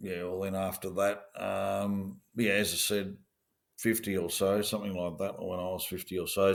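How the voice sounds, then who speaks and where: A man with an Australian accent speaks at a moderate pace and fairly low pitch in a very clean recording with a silent background. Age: 60s. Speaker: former police officer. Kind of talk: interview. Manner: halting.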